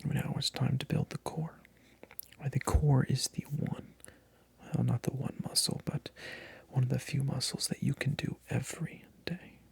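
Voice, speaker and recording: A man whispers at a fairly slow pace with long, frequent pauses, in a dry, close sound with no echo. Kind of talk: ASMR role play as a personal trainer, casual talk to camera. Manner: soft-spoken.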